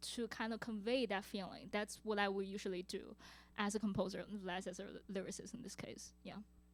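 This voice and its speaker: A woman with a Chinese accent speaks at a moderate pace. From China. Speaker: composer and multi-instrumentalist. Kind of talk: audience Q&A. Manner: halting.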